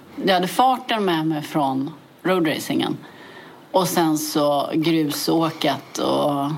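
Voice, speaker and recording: Through noticeable background noise, a woman talks at a very slow pace in a fairly low pitch with ordinary pitch variation. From Sweden, Täby (Stockholm area). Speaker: motorcycle rally racer. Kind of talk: interview.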